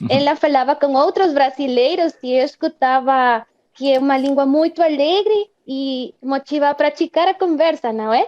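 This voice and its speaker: A woman with a Spanish accent speaks in a high pitch at a moderate pace, with hardly any pauses and ordinary pitch variation. The sound is dry and close, with no echo. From Guatemala. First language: Spanish (speaking Portuguese). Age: 20s. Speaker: Portuguese learner. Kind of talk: casual interview.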